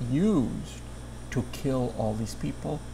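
A man talks very slowly, with noticeable background noise behind him. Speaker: founder and director of an immigrant shelter. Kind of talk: interview monologue. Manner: soft-spoken. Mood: soft-spoken, earnest. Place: home room. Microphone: lapel.

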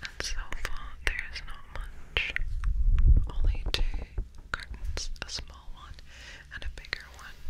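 A woman whispering, breathy and calm in tone, at a fairly slow pace. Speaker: ASMR creator. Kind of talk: ASMR whispered ramble. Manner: whispered, breathy; soft, slow, calm. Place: home room. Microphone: studio mic.

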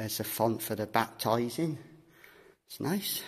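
The pace is slow. The voice has a slightly husky edge. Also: man.

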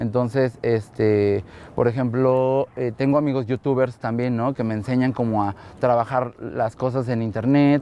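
A man talks at a fairly slow pace in a dark, mellow tone. His intonation is flat and monotone, and the sound is dry with no echo. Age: 30s. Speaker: photographer. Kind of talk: interview monologue. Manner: hesitant, many fillers.

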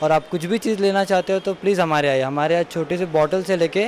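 Light background noise is audible. A man talks at a moderate pace with fairly even intonation. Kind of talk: promotional interview statement. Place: shop. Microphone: handheld.

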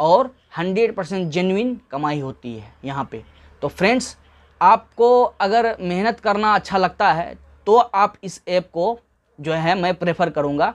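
A man talks at a fairly slow pace in a high pitch, his loudness swinging widely. The background stays quiet. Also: lively intonation. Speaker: online earnings youtuber. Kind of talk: tutorial. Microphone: lapel.

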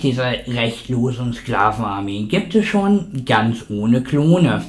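There's lively intonation in this man's somewhat breathy voice. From Germany. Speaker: science video blogger. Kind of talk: sarcastic science rant, scripted-sounding. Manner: sarcastic, indignant, biting. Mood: sarcastic, argumentative. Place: home room. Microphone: studio mic.

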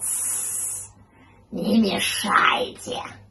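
A man does a put-on character voice at a high pitch. Hissing can be heard. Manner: hissing, irritated.

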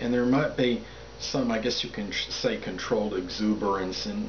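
Noticeable background noise sits behind a man talking at a fairly slow pace. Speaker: astrology commentator. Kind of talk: monologue explanation. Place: home room. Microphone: camera far.

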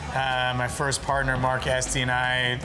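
Fairly slow speech over clear music in the background. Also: man. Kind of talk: interview answer. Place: bar.

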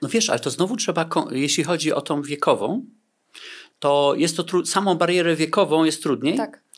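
At a moderate pace, a man speaks with a high pitch against a quiet background. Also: lively intonation. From Poland. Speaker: negotiation consultant; guest. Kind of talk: interview. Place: studio. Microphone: studio mic.

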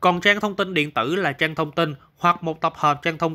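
In a very clean recording with a silent background, a man speaks at a fairly quick pace with a bright, sharp tone and a fairly high pitch that varies in an ordinary way. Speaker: news narrator. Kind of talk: news reading. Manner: formal.

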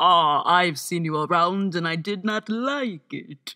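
A woman speaks in a cartoonish character voice with fairly low pitch. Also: fairly slow pace. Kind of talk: animation voice-over. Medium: voice reel. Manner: sarcastic, sassy.

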